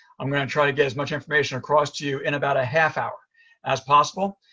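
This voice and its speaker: In a New York accent, a man talks at a very fast pace with a fairly high pitch and a bright, sharp tone. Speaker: chiropractor and functional medicine doctor. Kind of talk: presentation. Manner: animated.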